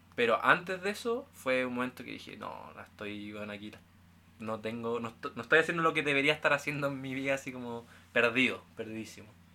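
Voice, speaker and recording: A man with an unremarkable speaking voice, medium pitch, ordinary pitch variation, big swings in loudness and a fairly quick pace. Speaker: university student. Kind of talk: casual chat.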